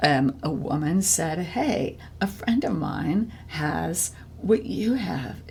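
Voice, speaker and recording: Very slowly, a woman speaks with vocal fry at a very deep, low pitch, her pitch swinging very widely. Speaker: podcast host and musician. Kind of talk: casual interview chat. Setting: on a porch. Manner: halting, many fillers.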